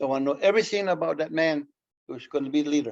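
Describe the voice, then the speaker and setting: With a Canadian accent, this man talks at a fairly quick pace in a fairly high pitch, his intonation fairly even. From Mohawk Nation at Akwesasne. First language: Mohawk. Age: 70s. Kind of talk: public lecture.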